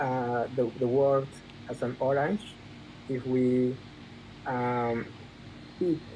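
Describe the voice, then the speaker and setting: A man with a medium pitch speaks at a very slow pace, with long, frequent pauses. His intonation stays fairly even. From Peru, southern Andes. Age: 30s. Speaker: engineer and data analyst. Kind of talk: casual chat. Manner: halting.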